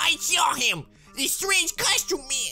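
The voice is a put-on character at an extremely high pitch, delivered at a fairly slow pace. Faint music plays in the background. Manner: different, put-on voice.

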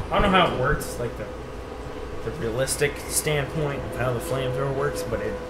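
Loud background noise sits under a man talking at a fairly quick pace. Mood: joking, loose. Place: home room. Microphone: phone near.

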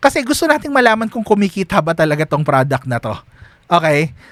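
A man talks at a very fast pace, his voice high for a man with very wide pitch swings. The sound is dry and close, with no echo. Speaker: online business coach. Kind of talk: tutorial. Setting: screen-share recording. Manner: casual, with many fillers.

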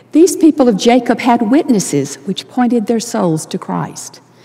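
A woman with a high voice and an American accent talks at a moderate pace, her pitch swinging very widely. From US South. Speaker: church leader giving devotional. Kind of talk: sermon. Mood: earnest, reflective. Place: hall. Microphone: headset.

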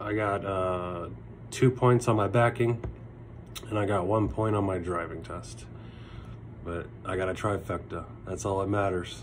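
Somewhat breathy and fairly low in pitch, a man talks at a fairly slow pace with long, frequent pauses over light background noise. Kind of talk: casual vlog chat. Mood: relieved and happy. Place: home room. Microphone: phone near.

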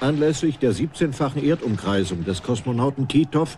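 Speaking at a moderate pace, the man has a medium pitch and a dark, mellow tone that is somewhat breathy. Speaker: documentary narrator. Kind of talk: scripted documentary narration.

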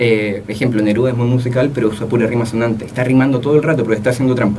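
A man's medium-pitched voice at a very fast pace, with a Chilean accent, over light background noise. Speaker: young poet; guest. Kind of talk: interview. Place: studio. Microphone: studio mic.

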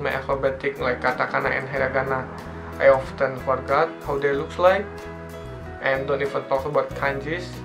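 A man at a moderate pace with very wide pitch swings, clear music in the background. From Indonesia. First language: non-native English speaker. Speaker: foreign student in Japan. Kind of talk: casual channel introduction to camera. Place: home room. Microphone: phone near.

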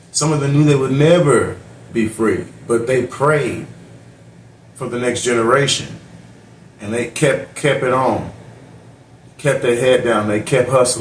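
A man talks at a fairly slow pace with long, frequent pauses, audible room echo and light background noise. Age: 40s. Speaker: YouTube reaction channel host. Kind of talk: reaction commentary. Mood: earnest, reflective. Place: home room. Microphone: phone near.

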